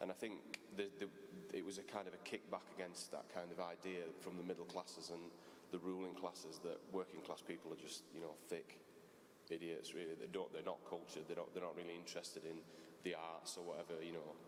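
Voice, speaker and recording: With a Yorkshire accent, a man talks at a fairly quick pace. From Yorkshire, Barnsley. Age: 30s. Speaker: graphic designer and author. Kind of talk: panel talk. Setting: stage with audience. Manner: halting.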